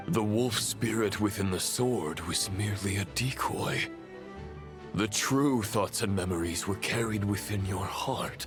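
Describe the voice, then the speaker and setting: Against loud music in the background, a man with a fairly low pitch uses a put-on character voice. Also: moderate pace. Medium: game stream. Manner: formal, measured.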